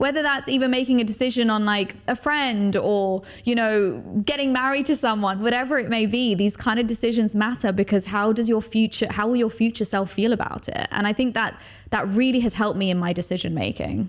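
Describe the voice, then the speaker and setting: The speaker has a London accent and a fairly quick pace. Loudness stays very even. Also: woman, fairly high pitch for a woman, ordinary pitch variation. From London, England. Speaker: TV host and public speaker. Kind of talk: podcast interview.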